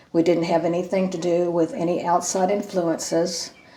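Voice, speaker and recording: The voice moves at a moderate pace with monotone, flat intonation. Background noise is noticeable. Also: woman. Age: 60s. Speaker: retired teacher. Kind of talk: interview testimony. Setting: video interview. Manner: halting.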